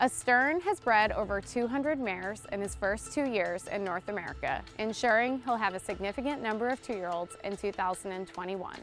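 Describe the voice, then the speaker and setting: At a moderate pace, the speaker shows ordinary pitch variation in a dry recording with no echo, with faint music playing in the background. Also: woman. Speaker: stallion sales manager. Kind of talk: interview answer. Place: open country. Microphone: lapel.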